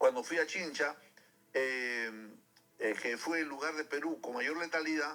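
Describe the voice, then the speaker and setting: A man's fairly high pitch at a moderate pace, with ordinary pitch variation. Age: 60s. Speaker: radio host and physician. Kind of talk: radio interview. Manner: halting, many fillers.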